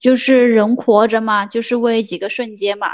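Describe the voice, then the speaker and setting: A woman speaks at a fairly high pitch in a monotone, flat delivery. The background is quiet. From Guangdong, southern China. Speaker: podcast host. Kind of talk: casual chat. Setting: remote call.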